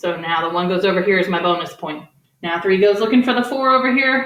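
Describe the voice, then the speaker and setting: Her intonation is lively. The woman speaks at a fairly quick pace. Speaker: elementary math teacher. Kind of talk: tutorial. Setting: garage. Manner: fast; animated.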